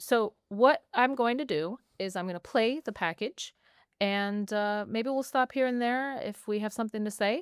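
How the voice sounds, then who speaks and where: On a very clean recording with a silent background, dry and close with no echo, a woman with an American accent speaks at a moderate pace in a fairly high pitch with ordinary pitch variation. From United States, Iranian heritage. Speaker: journalist, podcast co-host. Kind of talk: casual chat. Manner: animated.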